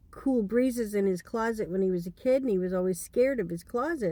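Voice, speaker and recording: A woman talks at a fairly quick pace in a dark, mellow tone with ordinary pitch variation. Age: 60s. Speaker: storyteller. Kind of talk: casual storytelling. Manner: halting, many fillers and restarts.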